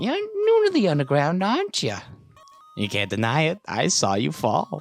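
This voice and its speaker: A man's put-on character voice, fairly high-pitched, at a moderate pace, with faint music in the background. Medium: game stream. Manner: fake friendly.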